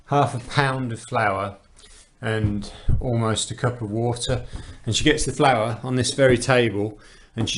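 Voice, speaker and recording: A man speaks in a normal speaking voice at a fairly slow pace. His intonation is fairly even. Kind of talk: casual narration of cooking video.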